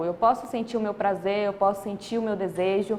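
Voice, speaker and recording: A woman with a medium pitch speaks at a moderate pace. There is noticeable background noise. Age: 20s. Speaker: interviewer. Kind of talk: interview.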